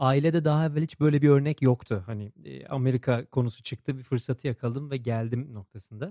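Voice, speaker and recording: A man with a dark, mellow tone speaks very fast in a dry, close recording with no echo. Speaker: podcast host and social enterprise co-founder. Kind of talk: casual interview.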